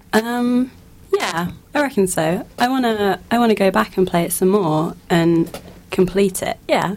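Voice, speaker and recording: This woman has a plain, everyday voice. Her pitch is medium, with ordinary pitch variation. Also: fairly slow pace. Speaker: panelist discussing games. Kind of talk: casual group chat. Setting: radio studio.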